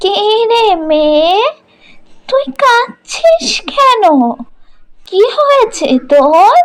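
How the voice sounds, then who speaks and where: A woman does a cartoonish character voice at an extremely high pitch, speaking very slowly with very wide pitch swings. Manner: warm, motherly.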